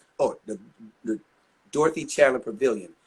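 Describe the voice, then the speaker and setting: A man's animated voice at a very fast pace. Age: 60s. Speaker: R&B singer. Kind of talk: casual interview chat.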